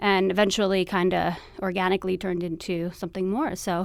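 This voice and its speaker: A woman's medium-pitched voice, fairly quick, with monotone, flat intonation. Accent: American. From New York City, Queens. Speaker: TV producer, expectant mother. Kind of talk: interview conversation.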